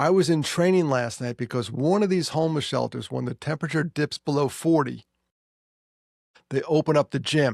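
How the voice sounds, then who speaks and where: A man with a New York accent talks at a fairly quick pace in a fairly high voice, recorded very cleanly against a silent background. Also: dry, close sound with no echo. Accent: New York area American. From US Northeast, New York. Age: 60s. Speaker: podcast host and suicide prevention speaker. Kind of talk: casual chat. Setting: office.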